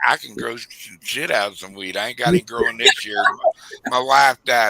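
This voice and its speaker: A man with a normal speaking voice talks at a medium pitch and moderate pace, with lively intonation. His loudness swings a lot in a dry, close sound with no echo. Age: 60s. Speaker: stream guest. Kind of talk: casual chat.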